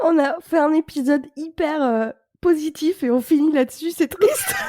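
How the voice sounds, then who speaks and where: A woman speaks at a fairly slow pace with a high pitch and ordinary pitch variation. The sound is dry and close, with no echo. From France. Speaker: podcast host. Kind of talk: podcast interview.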